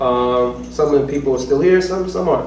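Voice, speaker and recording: Over audible room echo and noticeable background noise, a man with an American accent talks fairly quickly at a fairly high pitch with lively intonation. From US Northeast, Norwich, Connecticut. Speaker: poet and professor. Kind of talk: casual chat; poetry reading. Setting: stage with audience.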